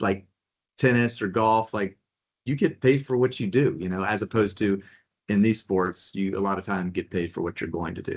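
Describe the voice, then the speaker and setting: A man's plain, everyday voice at a fairly low pitch, with ordinary pitch variation and a moderate pace. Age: 60s. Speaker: fantasy football league commissioner. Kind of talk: casual chat.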